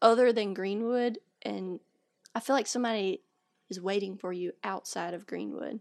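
Recorded with a dry, close sound and no echo, a woman with a Southern US accent speaks in a medium-pitched voice with fairly even intonation. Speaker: podcast co-host. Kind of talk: casual chat. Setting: studio.

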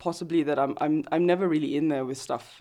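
A dark, mellow tone marks the woman's voice. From Singapore. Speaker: photographer. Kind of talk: casual interview.

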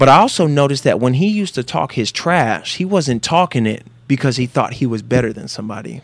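A man with a plain, everyday voice and an American accent talks at a fairly quick pace. His medium pitch carries lively intonation. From Northern California. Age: 30s. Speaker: former football player and motivational speaker. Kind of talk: casual interview.

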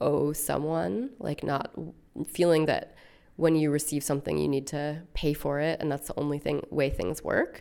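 A woman's very deep, low voice with vocal fry, ordinary pitch variation and a General American accent. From United States. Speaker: artist and activist. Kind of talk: interview. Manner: hesitant, many fillers.

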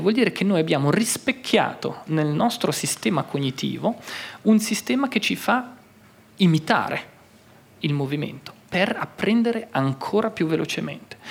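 High male voice, moderately paced, its pitch swinging very widely. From Switzerland, Graubünden (Mesolcina, Italian-speaking). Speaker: neuroscientist. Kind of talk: public talk before live audience. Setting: hall with live audience. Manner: halting, repeats words.

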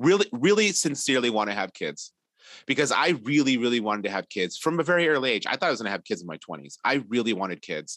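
A very fast male voice with vocal fry and very wide pitch swings against a quiet background. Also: medium pitch for a man, dry, close sound with no echo. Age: 40s. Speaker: artist and illustrator, parent. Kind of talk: casual chat.

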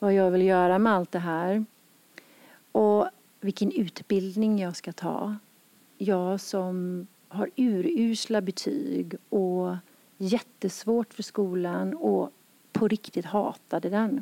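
Speaking at a very slow pace, a woman uses a medium pitch and ordinary pitch variation in a dark, mellow tone. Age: 50s. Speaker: yoga center owner and podcast host. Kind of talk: personal storytelling conversation. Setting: yoga studio.

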